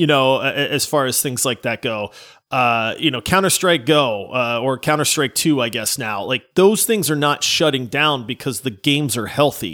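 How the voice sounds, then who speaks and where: A man talks at a moderate pace and a medium pitch, with ordinary pitch variation. His tone is bright and sharp in a very clean recording with a silent background. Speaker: podcast co-host. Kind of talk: casual chat. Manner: animated.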